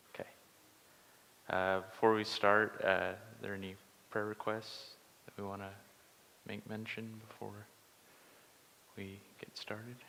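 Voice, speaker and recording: A soft-spoken man with fairly low pitch, monotone, flat intonation, big swings in loudness and long, frequent pauses. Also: fairly slow pace. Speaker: Bible study teacher. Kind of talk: Bible study lesson. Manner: hesitant, many filler words.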